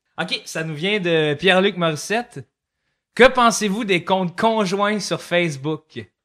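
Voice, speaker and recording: On a very clean recording with a silent background, a man with a Quebec accent speaks very slowly at a high pitch, in a bright, sharp tone with ordinary pitch variation. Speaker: comedian. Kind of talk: casual chat.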